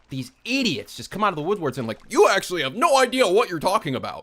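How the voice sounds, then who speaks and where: A man talks loudly at a very fast pace in an animated tone with vocal fry, on a very clean recording with a silent background. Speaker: live streamer. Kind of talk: casual live stream rant. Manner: loud, animated. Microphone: very close to the mic.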